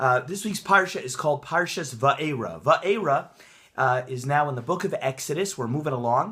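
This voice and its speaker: Energetic and fairly quick, a man talks in a fairly high voice with a bright, sharp tone and lively intonation. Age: young. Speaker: rabbi, Torah teacher and author. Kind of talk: casual talk to camera, Torah portion commentary. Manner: energetic, conversational, with filler words.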